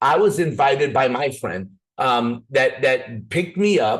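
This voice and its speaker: A man talks at a fairly slow pace with a medium pitch. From Minnesota, US. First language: not English (East African or Middle Eastern family language). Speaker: network marketing presenter. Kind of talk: sales pitch. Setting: video call.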